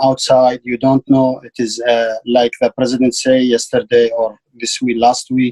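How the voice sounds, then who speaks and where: A man's medium-pitched voice with an Arabic accent, dry and close with no echo. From Iraq. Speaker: ESL student. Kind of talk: lesson. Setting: video call. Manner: halting.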